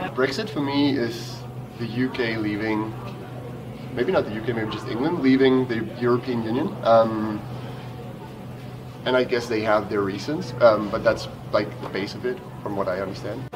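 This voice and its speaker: A man speaks with ordinary pitch variation and long, frequent pauses. Audible room echo and noticeable background noise fill the recording. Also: medium pitch for a man, moderate pace. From Denmark, Copenhagen. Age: 20s. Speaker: interviewee. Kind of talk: interview.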